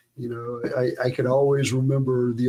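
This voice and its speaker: With a Southern US accent, a man is talking. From US South, south Georgia. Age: 60s. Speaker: guitarist. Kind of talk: casual chat.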